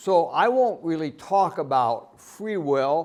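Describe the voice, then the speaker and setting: The intonation here is lively. It belongs to a man with an American accent. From United States. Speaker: professor. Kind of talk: lecture. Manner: loud.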